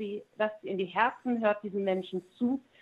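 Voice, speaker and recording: A woman speaks at a medium pitch with ordinary pitch variation. Her pace is moderate, and she has an ordinary speaking voice. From East Frisia, northern Germany. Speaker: musician and entertainer. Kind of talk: interview.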